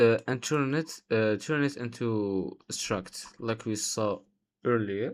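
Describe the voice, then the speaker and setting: His pitch shows ordinary variation. The man talks with a non-native accent. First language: not English. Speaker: software developer, coding tutorial creator. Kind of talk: tutorial. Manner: halting, many fillers.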